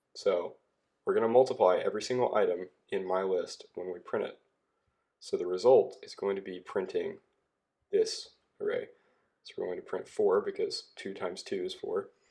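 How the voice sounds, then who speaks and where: A man speaks at a moderate pace with long, frequent pauses. His loudness swings widely. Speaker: programming tutor. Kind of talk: tutorial explanation. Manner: hesitant, says um often.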